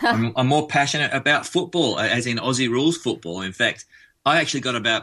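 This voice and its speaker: A man with an Australian accent talks at a fairly quick pace in a bright, sharp tone. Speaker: musician. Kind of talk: radio interview.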